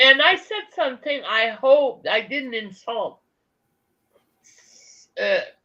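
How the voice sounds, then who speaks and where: A woman with a French accent speaks at a very slow pace. Her voice is high, with a bright, sharp tone. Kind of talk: casual conversational.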